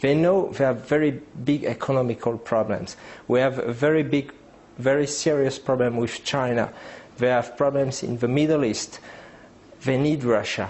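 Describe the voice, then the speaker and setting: A medium-pitched man with a French accent and ordinary pitch variation. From France. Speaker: geopolitics analyst. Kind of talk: interview. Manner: halting.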